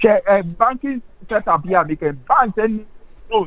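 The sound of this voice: A man speaks at a moderate pace with a high pitch. His pitch varies an ordinary amount.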